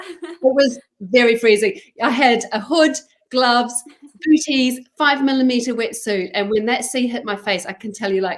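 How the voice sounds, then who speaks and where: The pace is moderate. The speaker has a slight New Zealand accent. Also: woman, high pitch for a woman, ordinary pitch variation. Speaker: charity chief executive. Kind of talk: interview. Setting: live online broadcast. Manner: halting.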